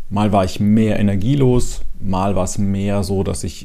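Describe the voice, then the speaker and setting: This man has a fairly low pitch and a dark, mellow tone. His pitch varies in an ordinary way, and the room echo is audible. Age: 40s. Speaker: podcast host sharing personal depression story. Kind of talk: personal testimony monologue.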